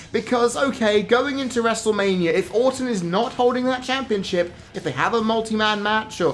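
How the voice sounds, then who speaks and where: The speaker has a British accent and keeps a moderate pace. Music plays in the background. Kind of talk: wrestling commentary rant to camera.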